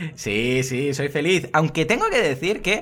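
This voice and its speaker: This man's intonation is lively, and he speaks at a moderate pace. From Murcia, Spain. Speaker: online marketing podcaster. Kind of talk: casual interview. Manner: energetic.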